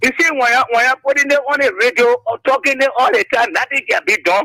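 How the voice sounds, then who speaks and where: A man speaks at an extremely high pitch in a raised, projected voice at a fairly quick pace. His tone is bright and sharp, and the sound is dry and close with no echo. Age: old. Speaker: caller. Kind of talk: radio call-in.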